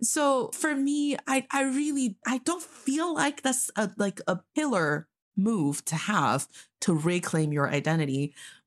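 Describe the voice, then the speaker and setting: Against a quiet background, a woman with an American accent talks fairly slowly at a fairly high pitch with very wide swings, her loudness very even and the sound dry and close with no echo. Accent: American-sounding English. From northeast China. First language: Mandarin Chinese. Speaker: podcast co-host. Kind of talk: casual chat.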